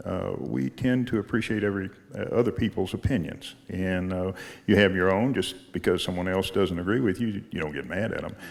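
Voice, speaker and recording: Speaking at a fairly quick pace, a man uses a very deep, low pitch with ordinary variation. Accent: Texan. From Galveston, Texas. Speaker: rancher. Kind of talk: radio interview. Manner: halting.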